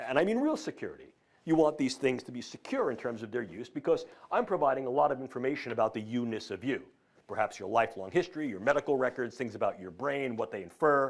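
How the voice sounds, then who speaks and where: A man with a New York accent at a medium pitch, very fast pace, lively intonation and big swings in loudness, on a very clean recording with a silent background. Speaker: professor. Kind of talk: lecture.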